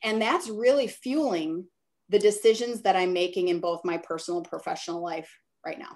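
A woman talks in an ordinary speaking voice at a medium pitch and a fairly quick pace. Her pitch variation is ordinary, while her loudness swings widely. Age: 50s. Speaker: branding and marketing consultant. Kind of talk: casual interview. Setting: call.

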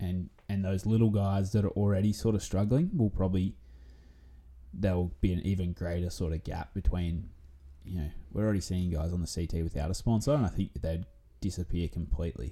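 Speaking at a fairly quick pace with an Australian accent, the voice has a dark, mellow tone and ordinary pitch variation in a very clean recording with a silent background. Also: man, very deep, low pitch for a man. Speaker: surf commentator guest. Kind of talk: casual chat. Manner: loud.

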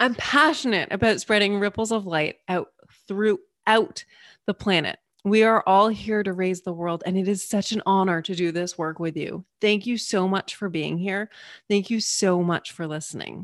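A woman's unremarkable speaking voice, medium in pitch with ordinary pitch variation, in a dry, close sound with no echo. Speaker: meditation guide and coach. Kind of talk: guided meditation. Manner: soft, slow, soothing; warm, gentle and encouraging.

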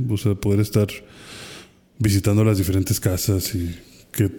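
A somewhat breathy, dark, mellow voice in a Mexican accent, flat and monotone at a moderate pace, in a very clean recording with a silent background. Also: man. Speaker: podcast co-host. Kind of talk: casual chat.

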